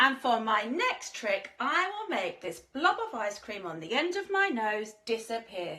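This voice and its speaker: A squeaky, put-on character voice from a woman, fairly high in pitch, with very wide pitch swings and a moderate pace. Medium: read story. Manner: shy, hesitant.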